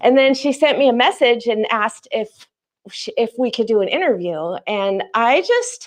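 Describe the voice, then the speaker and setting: Loud and animated, a woman speaks at a moderate pace in a high-pitched voice with lively intonation. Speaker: YouTuber and teacher, special guest. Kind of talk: casual chat.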